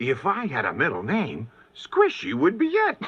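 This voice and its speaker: Using a cartoonish character voice, a man speaks at a moderate pace with a high pitch. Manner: playful, giggly.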